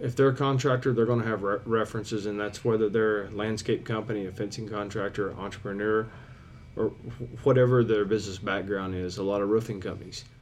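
A man speaks at a fairly low pitch and a fairly quick pace, with a slightly mellow tone. His intonation stays fairly even, and room echo is audible.

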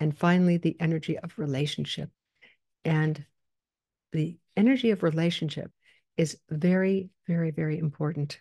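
Over a quiet background, a woman speaks at a very deep, low pitch with a dark, mellow tone and fairly even intonation, the sound dry and close with no echo. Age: 80s+. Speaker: psychologist and coach podcast host. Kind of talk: solo podcast monologue. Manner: conversational, direct address to listeners.

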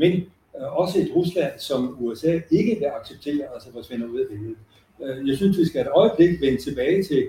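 A man's fairly high voice with a dark, mellow tone, lively intonation, big swings in loudness, and a fairly quick pace. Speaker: professor emeritus. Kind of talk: panel presentation; panel discussion.

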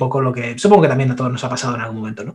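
A man speaks with a somewhat breathy voice. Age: 30s. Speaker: nutrition and fitness expert. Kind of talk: interview. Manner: halting.

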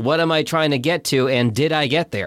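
Over a silent background in a very clean recording, a man speaks in a plain, everyday voice at a moderate pace with ordinary pitch variation. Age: 40s. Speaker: podcast host. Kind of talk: casual chat.

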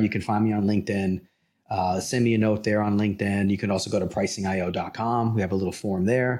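In a very clean recording with a silent background, a man with an American accent uses an unremarkable speaking voice pitched fairly low. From New York, the Bronx. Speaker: pricing consultant and company founder. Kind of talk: interview.

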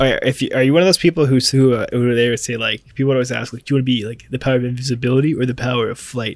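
Talking very fast, a man holds a medium pitch with fairly even intonation. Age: 20s. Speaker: podcast co-host. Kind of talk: casual chat.

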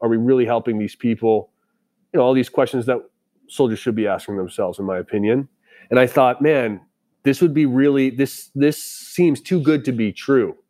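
A man with an American accent, a dark, mellow tone, medium pitch and a fairly quick pace. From Boston, US. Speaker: tech startup founder and army veteran. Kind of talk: interview.

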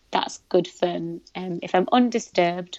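A woman speaks in a British accent at a moderate pace. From Britain, Pakistani heritage. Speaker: content creator and activist. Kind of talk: casual interview conversation.

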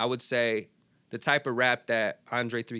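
A bright, sharp voice with an American accent sounds dry and close with no echo, on a very clean recording with a silent background. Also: man. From Arizona, Phoenix. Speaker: radio DJ. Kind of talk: casual interview chat. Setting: studio.

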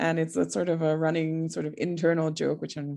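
A woman's fairly low, dark, mellow voice at a fairly quick pace over a quiet background. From Trinidad. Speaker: nonprofit executive director. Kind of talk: interview.

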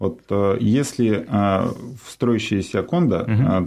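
A man's dark, mellow tone at a fairly low pitch with ordinary variation, against a quiet background. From Russian Far East, Nakhodka. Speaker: real estate businessman. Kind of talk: casual interview.

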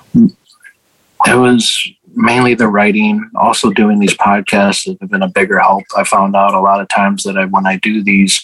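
At a moderate pace, a man with an American accent speaks in a dry, close sound with no echo. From US Midwest, Chicago. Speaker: war veteran and author. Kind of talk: interview. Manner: halting, many fillers.

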